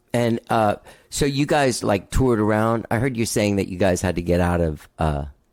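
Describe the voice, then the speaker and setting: In a very clean recording with a silent background, a man talks with a normal speaking voice at a fairly low pitch. He keeps a moderate pace and his intonation is lively. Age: 50s. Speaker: podcast host. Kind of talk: casual interview chat.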